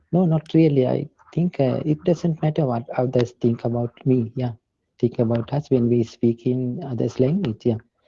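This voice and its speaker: A man talks at a moderate pace with medium pitch and ordinary pitch variation. His voice is somewhat breathy. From Sri Lanka. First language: Sinhala. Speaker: English learner. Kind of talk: casual chat. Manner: halting.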